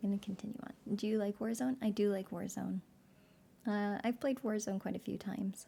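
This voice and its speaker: The speaker is soft-spoken and leaves long, frequent pauses. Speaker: streamer reading aloud. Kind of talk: casual chat; reading aloud. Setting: live stream.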